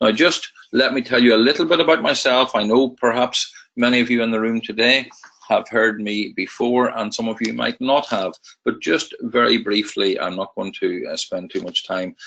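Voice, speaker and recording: At a moderate pace, a man speaks with a Northern Irish accent. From Northern Ireland. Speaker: trading educator. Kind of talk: webinar presentation. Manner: hesitant, many fillers.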